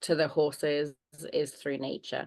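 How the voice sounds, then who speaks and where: In a British accent, a woman with a very deep, low voice speaks fairly slowly in a monotone, flat delivery against a quiet background. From Germany (British family). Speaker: horse trainer and animal communicator. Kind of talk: interview. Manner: warm.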